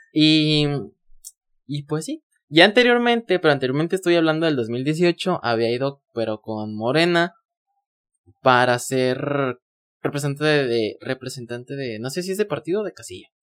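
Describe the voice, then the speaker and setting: A man with a fairly high voice talks at a moderate pace with lively intonation. The sound is dry and close with no echo, and his pauses are long and frequent. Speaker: podcaster. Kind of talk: casual chat. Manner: gets loud at times.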